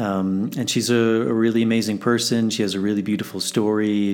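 His intonation monotone and flat, the man keeps a moderate tempo. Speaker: podcast host. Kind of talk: casual interview. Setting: video call.

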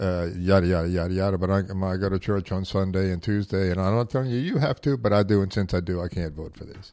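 Speaking in a very fast run with hardly any pauses, a man with a very deep, low voice and an American accent keeps a fairly even intonation on a very clean recording with a silent background. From US South. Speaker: podcast host. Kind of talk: casual chat.

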